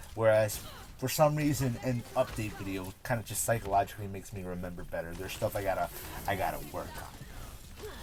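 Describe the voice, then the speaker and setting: Fairly quick speech from a man, ordinary pitch variation, noticeable background noise. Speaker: gaming and cannabis youtuber. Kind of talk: casual vlog monologue. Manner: halting, self-correcting.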